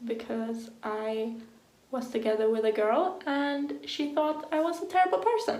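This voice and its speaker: With a non-native accent, a woman speaks at a fairly slow pace in a high pitch, with audible room echo and noticeable background noise. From Sweden. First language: Swedish. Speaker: vlogger. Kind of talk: personal vlog. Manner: casual, filler-heavy.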